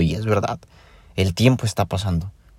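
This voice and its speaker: Over a silent background on a very clean recording, a man with a Mexican accent speaks very fast in a very deep, low pitch with a dark, mellow tone. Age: 20s. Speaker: podcaster. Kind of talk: personal reflection monologue. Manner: casual, conversational.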